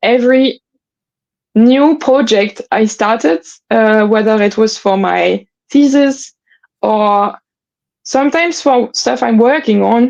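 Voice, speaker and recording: Lively intonation marks a woman's fairly high voice in a French accent. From northern France. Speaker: palaeontologist, fossil preparator. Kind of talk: interview conversation.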